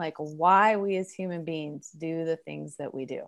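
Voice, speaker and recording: A woman's fairly low voice at a moderate pace, an ordinary speaking voice with ordinary pitch variation, against a quiet background. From Oregon. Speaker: psychologist and relationship coach. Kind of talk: interview.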